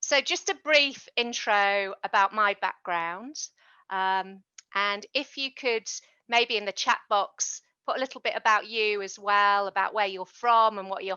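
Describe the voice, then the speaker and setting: A woman with a British accent speaks at a moderate pace in a medium pitch, her loudness swinging widely while her pitch varies in an ordinary way. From UK. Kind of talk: online workshop presentation.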